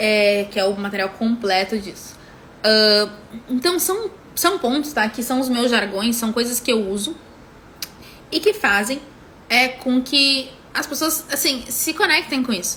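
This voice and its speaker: A woman with a high pitch, at a fairly slow pace with long, frequent pauses, over noticeable background noise. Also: lively intonation. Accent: southern Brazilian. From southern Brazil, Rio Grande do Sul (Porto Alegre). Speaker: business mentor. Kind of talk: live stream teaching. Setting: Instagram live. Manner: full, complete pronunciation of words; halting, many fillers and repetitions.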